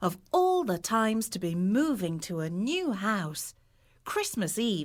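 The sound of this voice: The clip features an unforced reading voice.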